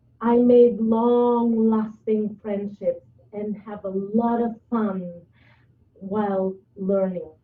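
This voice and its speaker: A woman with a non-native accent speaks at a fairly high pitch with fairly even intonation. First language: not English. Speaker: public speaking club member. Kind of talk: prepared presentation. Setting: video call.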